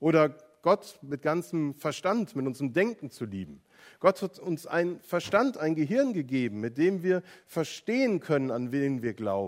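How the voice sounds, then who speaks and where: With a fairly high pitch and very wide pitch swings, a man speaks at a fairly slow pace. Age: 40s. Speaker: pastor. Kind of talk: sermon.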